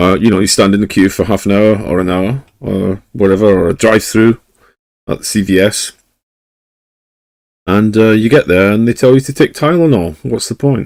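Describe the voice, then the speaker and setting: With a Scottish accent, a man speaks at a moderate pace and a fairly low pitch with ordinary variation, pausing long and often. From Scotland. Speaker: live streamer. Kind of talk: casual chat.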